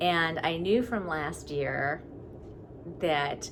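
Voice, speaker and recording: A woman with a very deep, low pitch speaks with audible room echo. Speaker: knitting podcaster. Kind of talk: casual video podcast monologue.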